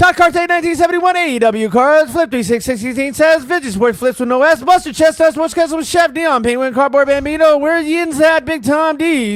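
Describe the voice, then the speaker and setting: A man mumbles in a put-on character voice at a fairly quick pace. Light background noise can be heard. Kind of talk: fast-talking ad voice. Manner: rapid, mumbled, blurred together.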